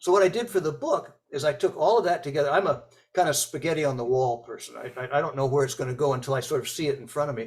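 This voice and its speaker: Somewhat breathy and very fast, a man speaks with a fairly high pitch, ordinary pitch variation and big swings in loudness. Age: 80s+. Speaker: author and speech coach. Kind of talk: interview. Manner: hesitant, many fillers and repetitions.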